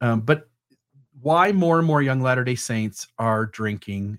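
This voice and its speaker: In an American accent, a man with an unremarkable speaking voice at medium pitch talks at a fairly slow pace with lively intonation, recorded dry and close with no echo. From Ohio, US. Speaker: podcast host. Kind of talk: solo commentary podcast. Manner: casual, with frequent fillers.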